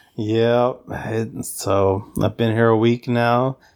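A man with a Southern US accent speaks at a medium pitch in monotone, flat intonation. The recording is very clean, with a silent background. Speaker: podcast host. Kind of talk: casual chat. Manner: joking, playful.

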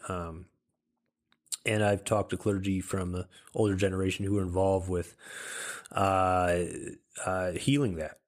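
In a very clean recording with a silent background, a man with an American accent speaks at a moderate pace in a very deep, low voice. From Michigan. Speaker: pastor and podcast host. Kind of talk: lecture-style podcast monologue. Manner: halting, many filler words.

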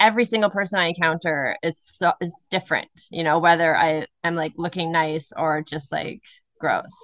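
Speaking at an even, moderate speed, a woman has an unremarkable speaking voice set fairly low in pitch. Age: 40s. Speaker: podcast co-host. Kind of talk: casual chat.

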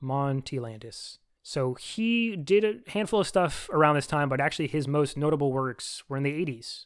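At a moderate pace and with hardly any pauses, a man talks at a fairly high pitch on a very clean recording with a silent background. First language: French (bilingual). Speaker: podcast co-host. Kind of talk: casual chat.

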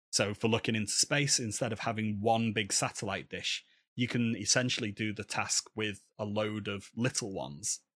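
Recorded very clean against a silent background with a dry, close sound and no echo, a man with a Manchester accent speaks at a moderate pace in a fairly low pitch, with fairly even intonation and hardly any pauses. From Manchester, England. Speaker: paleontologist and podcaster. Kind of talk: interview conversation.

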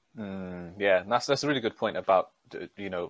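A man speaks at a moderate pace with a fairly low pitch and ordinary pitch variation. The sound is dry and close with no echo, in a very clean recording with a silent background. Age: 30s. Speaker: podcast host. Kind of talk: casual interview.

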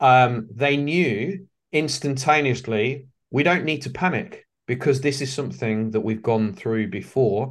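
The speaker has an English accent, a fairly slow pace, and ordinary pitch variation. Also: man, medium pitch for a man. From England. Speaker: leadership facilitator and author. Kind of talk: interview. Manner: hesitant with fillers.

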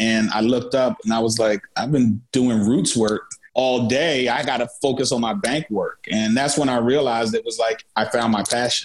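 A man with an unremarkable speaking voice and medium pitch keeps a moderate pace, fairly even intonation, very even loudness and hardly any pauses. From Philadelphia. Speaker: music manager and festival producer. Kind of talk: interview.

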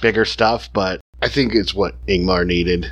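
Here a man talks at a moderate pace. His pitch is very deep and low, with vocal fry. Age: 40s. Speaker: film podcast guest. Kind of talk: casual chat.

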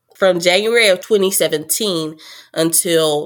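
An unremarkable speaking voice belongs to a woman with an American accent, a fairly low pitch and a moderate pace. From Texas. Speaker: podcaster sharing personal story. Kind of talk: interview testimony.

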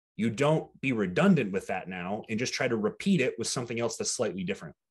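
This man's pitch swings very widely while he keeps to a moderate speed. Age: 20s. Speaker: bodybuilding coach. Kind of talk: casual chat.

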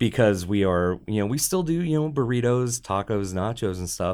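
A man with a normal speaking voice talks at a medium pitch and a moderate pace. The recording is very clean, with a silent background. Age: 40s. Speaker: restaurant owner. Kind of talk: casual chat. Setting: studio.

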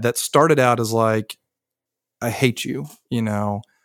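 Recorded very cleanly against a silent background, a man speaks at a moderate pace and medium pitch with a Southern US accent. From US South. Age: 30s. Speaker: son of a recovery community member. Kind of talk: podcast interview, personal story. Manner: animated.

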